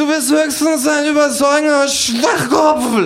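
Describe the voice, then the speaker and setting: This man uses a put-on character voice with an extremely high pitch. He talks at a fairly slow pace. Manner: sarcastic, mocking.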